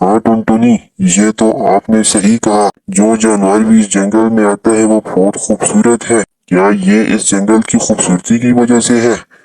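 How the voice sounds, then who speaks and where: This cartoonish character voice moves at a moderate pace. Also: man, medium pitch for a man. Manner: friendly, earnest.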